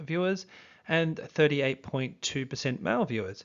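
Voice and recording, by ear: A man speaks with lively intonation and a fairly bright tone.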